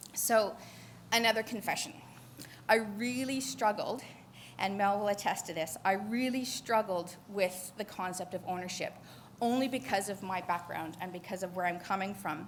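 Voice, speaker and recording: A somewhat breathy woman's voice with a Canadian accent, medium in pitch, with ordinary pitch variation and audible room echo. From Canada. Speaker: conservation geneticist. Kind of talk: conference panel talk. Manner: fast.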